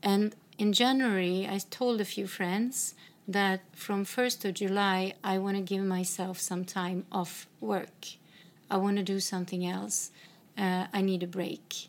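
Someone with a Swedish accent speaks at a fairly slow pace with fairly even intonation, in a very clean recording with a silent background. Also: woman, medium pitch for a woman. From northern Sweden. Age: 50s. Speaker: podcast host. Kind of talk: casual chat. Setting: in a home.

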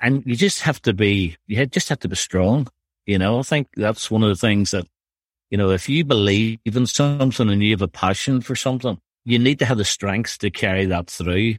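A man with a Northern Irish accent, fairly low in pitch, at a moderate pace with ordinary pitch variation, in a dry, close sound with no echo over a very clean, silent background. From Northern Ireland. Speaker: youth director at a church. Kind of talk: casual interview. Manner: halting, conversational, laughs often.

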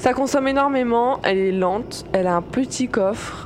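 Fairly high-pitched speech from a woman, with noticeable background noise. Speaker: podcast co-host, role-playing game player. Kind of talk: casual banter, role-playing game.

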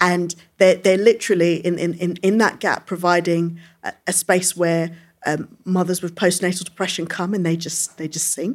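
A woman with a London accent speaks at a moderate pace in a fairly low pitch with monotone, flat intonation, on a very clean recording with a silent background. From London, England (Brixton Hill). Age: young. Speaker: politician. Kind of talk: live interview before audience. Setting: stage with audience.

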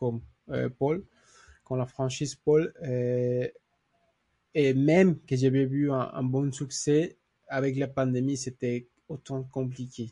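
A man speaks very slowly in a Spanish accent, leaving long, frequent pauses. His medium-pitched voice has a dark, mellow tone, somewhat breathy, with fairly even intonation. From Mexico. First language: Spanish (speaking French). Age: 30s. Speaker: lawyer. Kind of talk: interview. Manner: halting.

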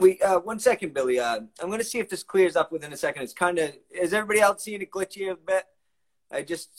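An unforced reading voice comes over a quiet background. Pitch variation is ordinary.

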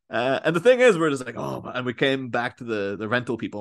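A man with a Northern Irish accent, talking at a very fast pace. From Northern Ireland, near Belfast. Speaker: podcaster. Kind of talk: casual chat.

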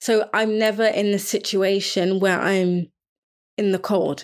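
A woman's medium-pitched voice in a London accent, monotone and flat in intonation, on a very clean recording with a silent background. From London, England. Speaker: podcast host, fashion designer and sickle cell advocate. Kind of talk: solo podcast monologue.

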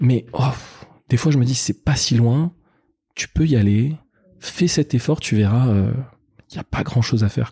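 A somewhat breathy voice with a dark, mellow tone moves fairly slowly, with long, frequent pauses, ordinary pitch variation and big swings in loudness. The recording is very clean, with a silent background and a dry, close sound with no echo. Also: man, medium pitch for a man. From Paris suburbs, France (Colombes, housing estate). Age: 30s. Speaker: entrepreneur, company founder. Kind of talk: interview conversation. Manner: halting, many repetitions.

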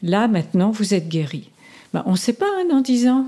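A somewhat breathy female voice, dark and mellow in tone. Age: 70s. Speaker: psychotherapist and hypnotherapist. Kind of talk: interview; guided hypnotic induction. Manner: slower, modulated hypnotic delivery.

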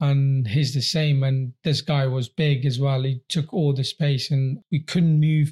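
A man's somewhat breathy, dark, mellow voice at a fairly high pitch keeps very even loudness and fairly even intonation, moving at a fairly slow pace with hardly any pauses in a dry, close sound with no echo. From Afghanistan, then Gloucester from age 12. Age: 20s. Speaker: professional boxer. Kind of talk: interview, personal life story. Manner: halting, with fillers and repetitions.

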